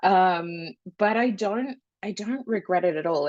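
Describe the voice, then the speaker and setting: A woman speaks with an American accent and ordinary pitch variation. The sound is dry and close, with no echo. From Australia. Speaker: genetics scientist and startup founder. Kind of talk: podcast interview.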